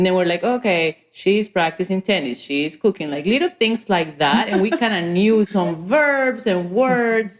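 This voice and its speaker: Her pitch medium, a woman talks at a fairly slow pace with hardly any pauses, lively intonation and very even loudness. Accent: strong Spanish. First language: Spanish. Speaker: entrepreneur. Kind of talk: podcast interview.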